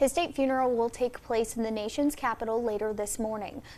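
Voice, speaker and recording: With a plain, everyday voice, a woman speaks at a fairly quick pace, her fairly high pitch held in fairly even intonation. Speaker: local TV news anchor. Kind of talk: scripted news read.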